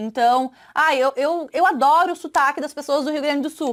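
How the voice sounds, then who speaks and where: A woman with a southern Brazilian accent, high-pitched, at a moderate pace. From southern Brazil, Santa Catarina. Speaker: sales trainer. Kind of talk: online course lesson. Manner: hesitant, filler-heavy.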